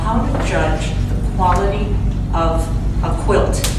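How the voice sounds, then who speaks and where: Amid loud background noise and audible room echo, a woman with an American accent speaks at a fairly slow pace. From US Midwest. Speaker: painter. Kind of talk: gallery talk. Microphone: camera far.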